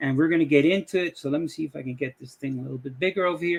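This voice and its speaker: A man speaks with a Dutch accent and a fairly high pitch, his intonation lively. The sound is dry and close, with no echo. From Dutch West Indies. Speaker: YouTuber, AI image tutorial maker. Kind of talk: casual talk to camera, tutorial intro. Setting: screen-share recording at computer. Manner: hesitant, many fillers.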